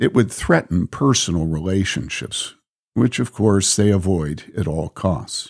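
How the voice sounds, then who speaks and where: An unremarkable speaking voice from a man with an American accent, fairly low in pitch and fairly slow in pace, on a very clean recording with a silent background. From US Midwest, Illinois. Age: 60s. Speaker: pastor and blogger reading his own posts. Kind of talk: reading aloud.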